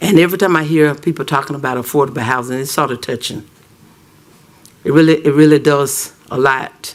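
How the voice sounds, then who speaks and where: At a fairly quick pace, a man talks in a fairly high pitch with fairly even intonation. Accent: Southern US. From US South, Auburn, Alabama. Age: 60s. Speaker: citizen speaker at council meeting. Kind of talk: public comment at council meeting. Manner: halting.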